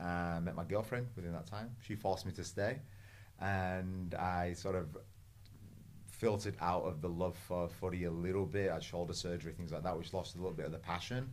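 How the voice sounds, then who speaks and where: This man has a very deep, low voice with ordinary pitch variation. He talks at a fairly quick pace. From England. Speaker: podcast host and personal trainer. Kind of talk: casual interview chat. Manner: animated.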